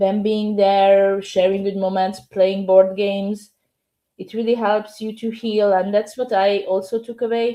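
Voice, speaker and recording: In a Hungarian accent, a woman speaks fairly slowly at a medium pitch, her dark, mellow tone flat and monotone. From Hungary. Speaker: novelist and English teacher. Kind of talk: podcast interview.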